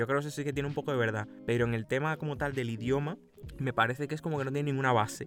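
Over music in the background, a man talks at a very fast pace in a medium-pitched voice. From Cuba. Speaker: podcast co-host. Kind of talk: casual chat.

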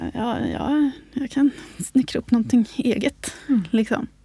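A woman speaks at a fairly slow pace with ordinary pitch variation. Her voice is fairly high in pitch, with a dark, mellow tone. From Sweden, Uppsala, grew up on a farm. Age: 30s. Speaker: craft author and tailor. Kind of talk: casual chat. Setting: studio.

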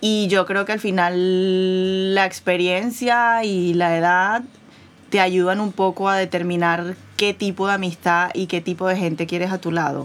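A woman speaks at a medium pitch in an unremarkable speaking voice. Her pace is fairly slow and her intonation fairly even. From Venezuela. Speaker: podcast co-host. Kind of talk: casual chat.

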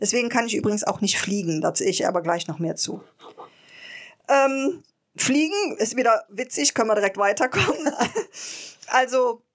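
Her fairly high voice makes very wide pitch swings as this woman speaks at a moderate pace with long, frequent pauses, all in a very clean recording over a silent background. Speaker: podcast co-host. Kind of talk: interview.

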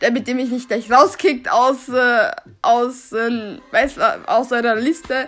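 A woman's high-pitched voice at a very slow pace. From Austria, Salzburg, Serbian family. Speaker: podcaster. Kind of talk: casual monologue, German-Serbian code-switching. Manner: unscripted, halting.

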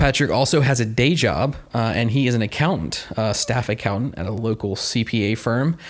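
A man's normal speaking voice at medium pitch, fairly quick with hardly any pauses and ordinary pitch variation. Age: 30s. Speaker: podcast host. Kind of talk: casual interview; podcast intro monologue.

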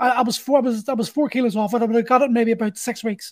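A man with an extremely high pitch and ordinary pitch variation speaks at a very fast pace. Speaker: podcast host. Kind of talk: casual interview chat.

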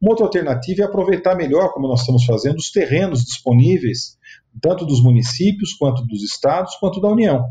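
His voice has a dark, mellow tone and sits fairly high for a man. The man moves at a fairly quick pace with very wide pitch swings. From Sorocaba, interior of São Paulo state, Brazil. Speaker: state housing official and real estate businessman. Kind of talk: interview.

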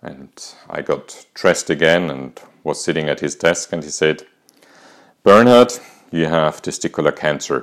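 Very deep, low male voice with an Austrian accent, vocal fry and lively intonation, at a moderate pace broken by long, frequent pauses. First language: German. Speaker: podcaster and cancer survivor. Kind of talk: personal storytelling monologue.

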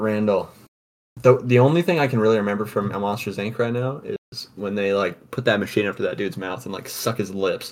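The man talks at a fairly quick pace. His voice sits fairly low, with ordinary pitch variation. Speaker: podcast host. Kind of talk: casual chat. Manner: loud. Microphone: blue snowball on a laptop.

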